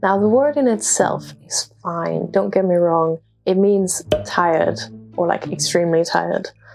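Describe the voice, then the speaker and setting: Music plays in the background as a woman speaks. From Denmark. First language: Danish. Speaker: international student. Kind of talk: casual talk to camera.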